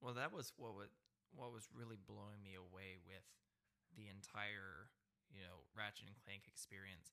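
A man speaks at a moderate pace with long, frequent pauses. His tone is bright and sharp, with vocal fry. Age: 20s. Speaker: podcast host. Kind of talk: casual chat.

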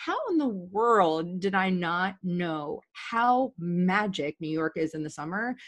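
A woman with an American accent talks at a very slow pace and medium pitch, with ordinary pitch variation and hardly any pauses. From Virginia, US. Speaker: podcast guest. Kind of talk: casual interview chat.

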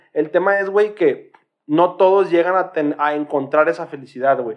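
Speaking in a Mexican accent, a man talks fairly quickly in a high voice with ordinary pitch variation. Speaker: podcast co-host. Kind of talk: casual chat.

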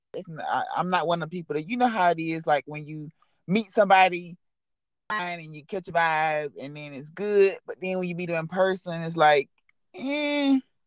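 On a very clean recording with a silent background and a dry, close sound with no echo, a high-pitched man with an American accent talks at a moderate pace, with ordinary pitch variation and big swings in loudness. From US South, Georgia. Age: 20s. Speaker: model and skincare business owner. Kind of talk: casual chat.

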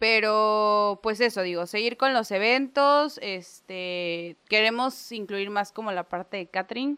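A woman with a normal speaking voice, fairly high pitch, ordinary pitch variation, a fairly slow pace and hardly any pauses. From Mexico, Gulf coast island area. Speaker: chef and restaurant owner. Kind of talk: casual interview chat.

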